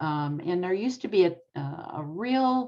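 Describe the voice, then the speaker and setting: A woman's voice with lively intonation and a dark, mellow tone, against a quiet background. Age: 80s+. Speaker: retired social worker and therapist. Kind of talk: interview.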